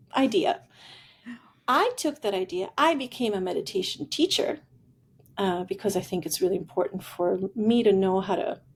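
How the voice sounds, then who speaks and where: A woman speaks at a moderate pace in an Italian accent, her voice somewhat breathy. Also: medium pitch for a woman, lively intonation. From Italy. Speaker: futurist and executive coach. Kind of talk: podcast interview, personal storytelling.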